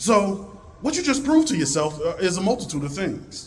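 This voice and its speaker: A man speaks with very wide pitch swings in a somewhat breathy voice. Room echo is audible. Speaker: librarian and speaker. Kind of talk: conference talk. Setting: stage with audience.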